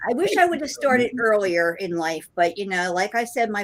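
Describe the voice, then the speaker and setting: In a plain, everyday voice of medium pitch, a woman talks at a moderate pace. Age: 60s. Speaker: guest cruiser. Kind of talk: casual chat.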